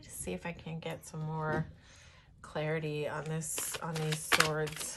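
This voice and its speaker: Over noticeable background noise, a woman with a very deep, low pitch speaks at a fairly slow pace with fairly even intonation, big swings in loudness, and long, frequent pauses. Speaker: tarot reader. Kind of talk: tarot reading. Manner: giggles while talking; halting, many fillers.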